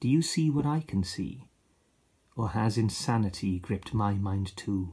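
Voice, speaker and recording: A man with a Welsh accent, fairly low-pitched, somewhat breathy and dark and mellow in tone, with lively intonation, a fairly slow pace and long, frequent pauses against a quiet background. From Wales, Aberaeron area. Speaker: poet and actor. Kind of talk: poetry reading. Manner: expressive.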